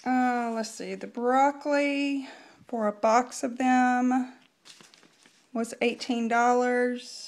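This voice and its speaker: Over a quiet background, a woman speaks very slowly at a high pitch with monotone, flat intonation. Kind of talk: casual vlog chat. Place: kitchen. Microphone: phone near.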